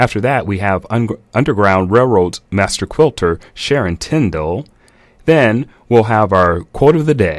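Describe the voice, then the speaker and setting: A man talks at a fairly slow pace and fairly low pitch, with lively intonation. It is an unremarkable speaking voice. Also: very clean recording, silent background. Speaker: radio host. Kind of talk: talk radio show pitch.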